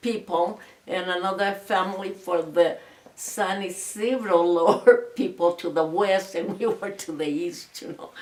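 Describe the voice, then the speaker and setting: A woman's medium-pitched voice at a fairly slow pace, over noticeable background noise. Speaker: oral history interviewee. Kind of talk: interview answer. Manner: hesitant, halting.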